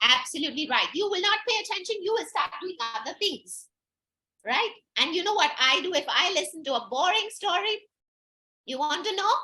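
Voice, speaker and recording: Raising and projecting her voice, a woman sounds upbeat and animated, with a bright, sharp tone and an extremely high pitch that swings very widely. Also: moderate pace. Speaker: storyteller. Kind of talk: children's workshop. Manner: upbeat, animated.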